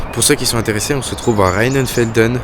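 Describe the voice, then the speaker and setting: Recorded with audible room echo and noticeable background noise, a man speaks at a very fast pace. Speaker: travel vlogger. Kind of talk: casual vlog. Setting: outdoors. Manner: whispering.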